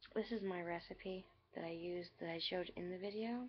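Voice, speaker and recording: With noticeable background noise, a woman speaks at a medium pitch and moderate pace with ordinary pitch variation. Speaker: craft vlogger. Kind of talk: craft tutorial. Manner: loud; hesitant, many ums.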